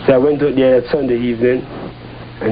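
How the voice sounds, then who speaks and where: Over noticeable background noise, a man at a medium pitch speaks at a fairly quick pace. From Jamaica. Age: 60s. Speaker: Rastafarian settler. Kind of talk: interview testimony.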